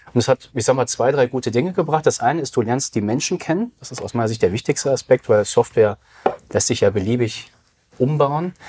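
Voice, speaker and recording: Here a man talks fairly quickly in a plain, everyday voice at a medium pitch. His pitch variation is ordinary, and the sound is dry and close, with no echo. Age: 40s. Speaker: digital business consultant. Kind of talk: casual interview.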